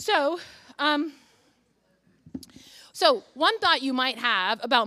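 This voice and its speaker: A woman uses a raised, projected voice with a bright, sharp tone on a very clean recording with a silent background. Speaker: philosophy professor. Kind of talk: keynote lecture. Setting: conference stage with audience. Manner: fast; frequent fillers, um and uh.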